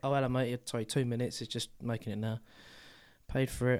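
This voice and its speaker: This man speaks very fast with a British accent, at a medium pitch. The recording is very clean, with a silent background. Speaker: podcast co-host. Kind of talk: casual chat.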